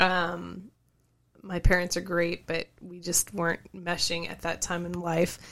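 At a fairly slow pace, a woman talks with a fairly low pitch, a bright, sharp tone and monotone, flat intonation, her loudness swinging widely in a very clean recording with a silent background. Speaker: podcast co-host, dental assistant. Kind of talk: casual chat.

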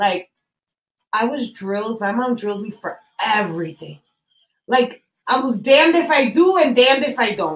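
A woman with an American accent, fairly high in pitch, with very wide pitch swings and long, frequent pauses. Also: moderate pace. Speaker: podcast co-host. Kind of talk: casual chat.

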